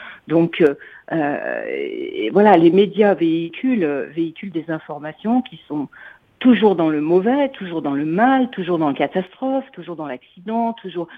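A female speaker talks fairly slowly, her intonation lively. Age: 60s. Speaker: radio listener caller. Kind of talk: call-in comment. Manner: hesitant, many fillers.

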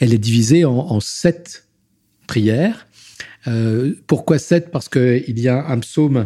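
A man's somewhat breathy, medium-pitched voice, dark and mellow in tone, at a very slow pace on a very clean recording with a silent background. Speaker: deacon. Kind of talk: testimony. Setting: at home in his Paris flat. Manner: voluble; halting, repeats words.

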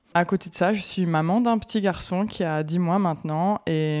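A woman talks at a moderate pace in an ordinary speaking voice with a fairly low pitch. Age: 30s. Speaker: dog breeder. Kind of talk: interview. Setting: guest's home.

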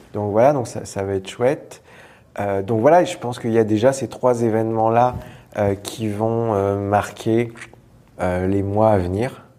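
A man's medium-pitched voice at a fairly slow pace, with ordinary pitch variation and audible room echo. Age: 30s. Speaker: improv actor and teacher. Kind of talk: casual interview. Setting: theatre venue.

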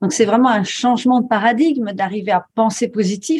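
A woman's somewhat breathy, fairly high voice at a moderate pace, on a very clean recording with a silent background. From rural France. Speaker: coach and author. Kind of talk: interview.

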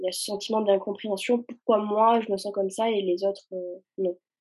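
Speaking at a moderate pace, the woman has a dark, mellow tone. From France, raised from age 4 (born in Algeria). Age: 20s. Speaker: anti-racism Instagram activist and student. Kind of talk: casual chat.

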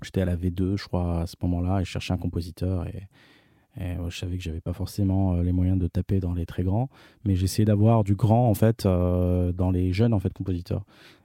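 Recorded very cleanly with a silent background and a dry, close sound with no echo, a man with a very deep, low pitch and a dark, mellow tone speaks at a moderate pace in a monotone, flat intonation. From France and Morocco. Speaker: film director. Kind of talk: interview. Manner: halting.

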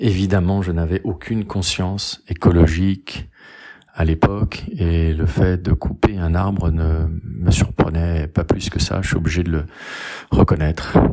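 Very deep and low in pitch, a man's dark, mellow voice moves at a fairly slow pace with fairly even intonation. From France, Lyon area (Rhône). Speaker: lawyer and public speaking coach. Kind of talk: personal storytelling.

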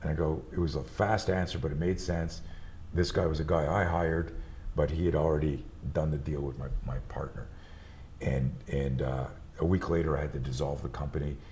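Speaking fairly quickly, a man with a very deep, low voice keeps his intonation fairly even, with audible room echo. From Montreal, Quebec. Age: 60s. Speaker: martial arts instructor and entrepreneur. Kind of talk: casual chat.

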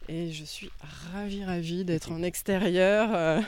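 A woman's pace is fairly slow. Her voice sits at a fairly low pitch. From western France, Anjou (Angers area). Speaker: forest bathing guide. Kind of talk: casual interview. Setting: outdoors, walking in a park. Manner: halting, many repetitions and fillers.

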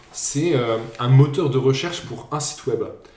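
A man with a medium pitch and ordinary pitch variation talks amid audible room echo and noticeable background noise. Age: 20s. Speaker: podcast host running a quiz. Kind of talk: casual quiz chat.

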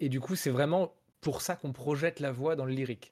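A man speaks at a fairly quick pace with a medium pitch, ordinary pitch variation and a dark, mellow tone, in a very clean recording with a silent background. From France. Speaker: rock singer and video game composer. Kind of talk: casual interview.

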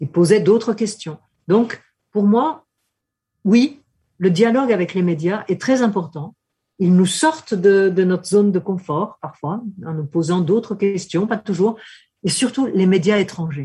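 With lively intonation and long, frequent pauses, a woman speaks in a somewhat breathy voice. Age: 70s. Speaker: political scientist. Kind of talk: interview. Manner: hesitant.

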